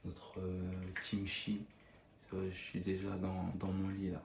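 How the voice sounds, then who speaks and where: Soft-spoken, somewhat breathy delivery in a dark, mellow tone, very slow in pace, with audible room echo. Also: man. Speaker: cooking video host. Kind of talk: cooking tutorial. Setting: in bed at night. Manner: hesitant.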